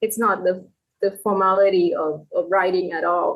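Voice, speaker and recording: The speech is at a very slow pace, in a Thai accent. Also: woman. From Thailand. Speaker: novelist. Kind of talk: casual chat.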